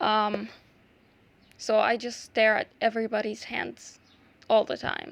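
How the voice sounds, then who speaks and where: A woman with an Arabic accent speaks at a fairly slow pace in a fairly high pitch, her intonation monotone and flat, with long, frequent pauses. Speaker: art YouTuber. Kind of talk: tutorial. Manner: halting; casual, many fillers.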